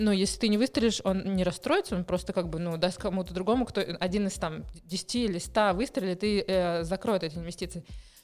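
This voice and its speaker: A woman at medium pitch talks at a very fast pace with vocal fry and ordinary pitch variation. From Moscow, Russia. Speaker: charity founder. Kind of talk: interview. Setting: studio.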